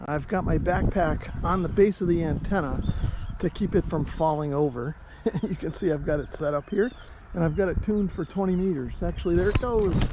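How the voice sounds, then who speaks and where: With an American accent, a man talks at a fairly quick pace in a high voice with ordinary pitch variation over noticeable background noise. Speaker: ham radio youtuber. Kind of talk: travel vlog narration and on-location tutorial. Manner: casual.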